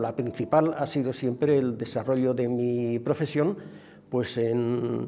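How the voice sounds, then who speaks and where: With music in the background, the speech comes at a fairly slow pace with fairly even intonation. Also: man. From Aragón, Spain (near Tarazona). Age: 80s+. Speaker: retired industrial engineer interviewee. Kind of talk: interview testimony. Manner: halting, with many fillers.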